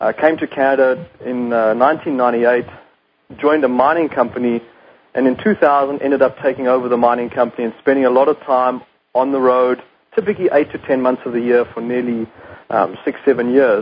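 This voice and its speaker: With a South African accent, a man talks at a fairly quick pace in a medium pitch and fairly even intonation. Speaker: company CEO. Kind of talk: radio interview.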